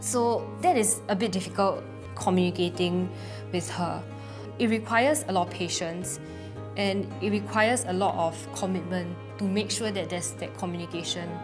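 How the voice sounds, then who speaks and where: A woman talks at a moderate speed. Behind her, music is playing. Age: 20s. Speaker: family caregiver. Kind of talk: interview answer.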